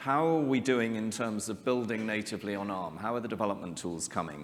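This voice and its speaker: Room echo can be heard. The speaker is a man. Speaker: tech company CEO giving keynote. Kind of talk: conference keynote.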